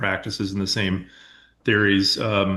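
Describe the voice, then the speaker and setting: This man, with a Midwestern US accent, has a fairly low pitch and a bright, sharp tone. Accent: US Midwest. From Iowa, Winnebago County. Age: 40s. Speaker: farmer. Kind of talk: interview. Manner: halting with fillers.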